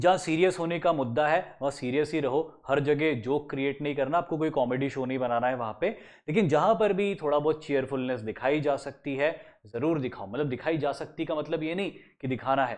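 A man's fairly high voice at a moderate pace against a quiet background. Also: ordinary pitch variation. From India. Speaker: SSB interview coach. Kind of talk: lecture.

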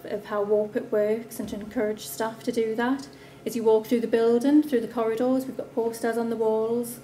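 A woman is speaking with fairly even intonation. Light background noise can be heard. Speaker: council presenter. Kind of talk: conference presentation. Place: hall. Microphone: camera far.

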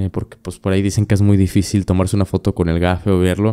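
A man with a Mexican accent, dark and mellow in tone, against a quiet background. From Mexico. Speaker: podcast host. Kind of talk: casual chat. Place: studio. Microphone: studio mic.

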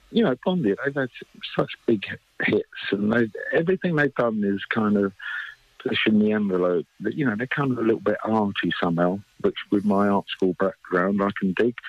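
A man with an ordinary speaking voice talks at a fairly low pitch and a moderate pace with ordinary pitch variation and very even loudness, in a dry sound with no echo against a quiet background. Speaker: guest. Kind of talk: interview answer. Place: studio.

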